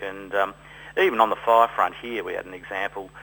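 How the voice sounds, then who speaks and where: A man speaks with an Australian accent. His pitch sits fairly low. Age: 60s. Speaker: winegrower and volunteer firefighter. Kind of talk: radio interview.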